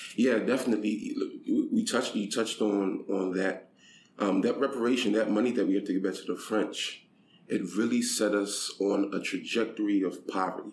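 At a moderate pace, a man speaks with very even loudness in a room with audible echo. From United States, Haitian immigrant. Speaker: aid program director and pastor. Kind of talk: interview. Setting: in person.

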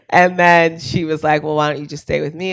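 A very fast woman's voice, very deep and low in pitch, on a very clean recording with a silent background. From US West Coast, Palo Alto, California. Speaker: fashion stylist and designer. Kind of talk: casual interview chat.

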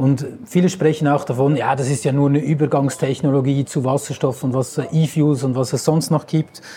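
A man talks at a fairly high pitch and a moderate pace, with hardly any pauses. His intonation is fairly even, his loudness very even, and there is noticeable background noise. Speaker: sales trainer and podcast host. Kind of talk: interview. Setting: on location at an event venue.

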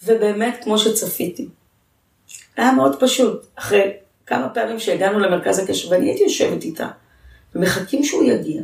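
Very wide pitch swings, vocal fry, and long, frequent pauses. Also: woman, fairly high pitch for a woman, moderate pace. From Israel, Jerusalem. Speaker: nonprofit founder and CEO. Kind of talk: interview, life story.

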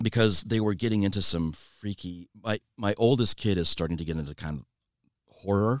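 A man's fairly quick, fairly low-pitched delivery in a plain, everyday voice, with ordinary pitch variation, a dry, close sound with no echo and a very clean recording with a silent background. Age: 50s. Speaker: podcast co-host. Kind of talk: casual chat.

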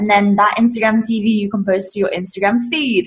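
A woman's medium-pitched voice with an English accent, fairly even intonation and a moderate pace. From England. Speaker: business coach. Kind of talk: casual interview chat.

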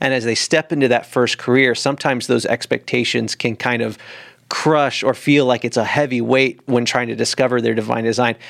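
A man speaks at a medium pitch with monotone, flat intonation and vocal fry. The sound is dry and close with no echo. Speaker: podcast co-host. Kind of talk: interview.

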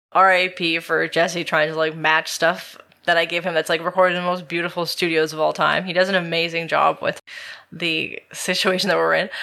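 A woman with a bright, sharp tone and vocal fry speaks at a fairly low pitch and moderate pace in a monotone, flat intonation. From Metro Vancouver, British Columbia, Canada. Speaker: singer-songwriter. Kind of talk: interview.

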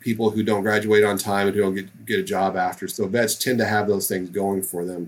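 His voice is fairly low in pitch. The man speaks in a monotone, with flat intonation. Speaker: army officer and instructor. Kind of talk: casual chat.

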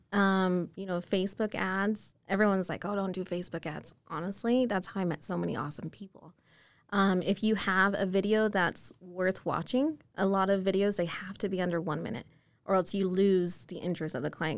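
A woman with an American accent and an ordinary speaking voice talks at medium pitch and a fairly quick pace with ordinary pitch variation, on a very clean recording with a silent background. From Utah, Murray. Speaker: loan officer. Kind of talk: casual chat.

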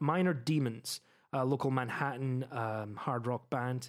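In a very clean recording with a silent background, a man speaks with a Scottish accent. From Scotland. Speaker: opera singer and music teacher. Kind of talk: casual chat.

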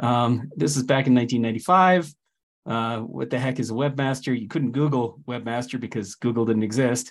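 At a fairly quick pace, a man uses a normal speaking voice at medium pitch with ordinary pitch variation over a quiet background. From Canada. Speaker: technology director and open source community organizer. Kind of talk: interview.

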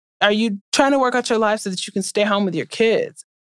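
A woman talks at a fairly quick pace with ordinary pitch variation, in a plain, everyday voice. The sound is dry and close, with no echo. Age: 40s. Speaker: podcast host. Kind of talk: solo podcast monologue.

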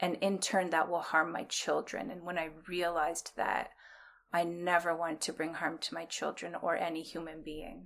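A woman with a Canadian accent talks at a moderate pace in a fairly low pitch, with vocal fry and monotone, flat intonation, on a very clean recording with a silent background. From rural Ontario, Canada (Bruce County). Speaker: social worker and therapist. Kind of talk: interview.

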